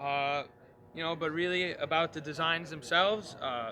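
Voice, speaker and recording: A man with a New York accent and a fairly high voice talks at a moderate pace in a bright, sharp tone. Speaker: guitar maker. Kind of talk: trade show interview. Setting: trade show floor. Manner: hesitant, many fillers.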